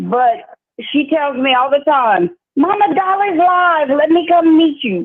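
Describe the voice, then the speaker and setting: Speaking in a Louisiana accent, a woman has a high pitch and lively intonation. Her pace is fairly slow. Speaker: caller, longtime viewer. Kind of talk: phone-in thanks.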